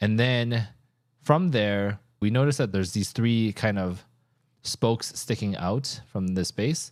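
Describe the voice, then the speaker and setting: On a very clean recording with a silent background, a normal speaking voice moves at a fairly slow pace with ordinary pitch variation. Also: man, fairly low pitch for a man. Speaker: CAD tutorial creator. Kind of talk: tutorial.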